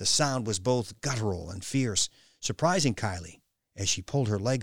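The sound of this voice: Against a quiet background, the reading is unforced and shows ordinary pitch variation.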